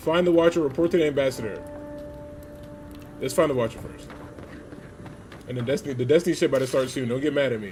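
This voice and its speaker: A man talks with music playing in the background. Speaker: gaming streamer. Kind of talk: casual gameplay commentary. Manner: fast; animated.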